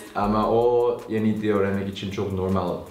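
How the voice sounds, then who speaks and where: The room has an audible echo. Music plays in the background. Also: man. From USA. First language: Korean (speaking Turkish). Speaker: YouTuber, language learner. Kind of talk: casual chat in Turkish. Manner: halting.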